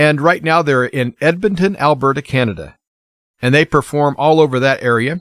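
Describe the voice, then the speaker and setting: In a very clean recording with a silent background and a dry, close sound with no echo, a man with an ordinary speaking voice talks at a moderate pace, fairly high in pitch, with ordinary pitch variation and very even loudness. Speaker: radio host. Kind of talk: radio dj patter. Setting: studio. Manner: friendly, warm, easygoing.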